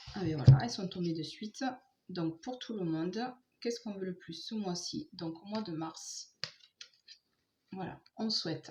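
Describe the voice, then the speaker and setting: This woman is soft-spoken, with a medium pitch and lively intonation. She talks at a fairly slow pace, leaving long, frequent pauses. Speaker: tarot card reader. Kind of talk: tarot reading for viewers.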